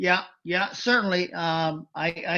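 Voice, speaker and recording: Very slowly, a man speaks at a high pitch with fairly even intonation. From Japan, Tokyo. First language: Japanese. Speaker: former wrestling manager. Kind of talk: interview. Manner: halting.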